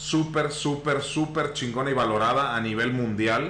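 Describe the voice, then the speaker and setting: A man at a fairly slow pace, amid noticeable background noise and audible room echo. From Mexico, Tampico, Tamaulipas. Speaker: podcast host. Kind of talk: casual chat. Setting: live stream.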